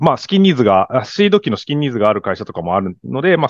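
A man talking at a very fast pace with very wide pitch swings. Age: 40s. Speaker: angel investor, startup founder. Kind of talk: casual interview chat. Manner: halting, many fillers.

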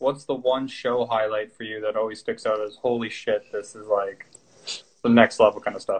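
Speaking at a moderate pace, a man has an unremarkable speaking voice with ordinary pitch variation and big swings in loudness. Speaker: podcast host. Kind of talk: casual interview. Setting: video call.

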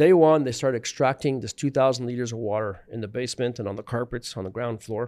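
On a very clean recording with a silent background, a man of medium pitch speaks fairly quickly with a Montreal accent and ordinary pitch variation. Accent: Montreal English Canadian. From Montreal, West Island. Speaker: inventor and contractor. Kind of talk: casual interview. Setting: studio. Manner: halting, many fillers.

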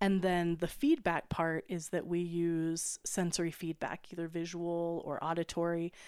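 On a very clean recording with a silent background, a woman talks at a moderate pace with hardly any pauses. Her voice is fairly low, with monotone, flat intonation. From Wyoming. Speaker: occupational therapist. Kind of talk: casual chat. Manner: laughs often.

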